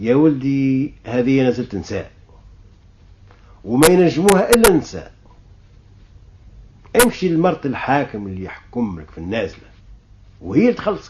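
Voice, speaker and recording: Pausing long and often, a man speaks at a fairly slow pace and medium pitch with very wide pitch swings. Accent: Tunisian. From Tunisia. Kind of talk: folk tale storytelling.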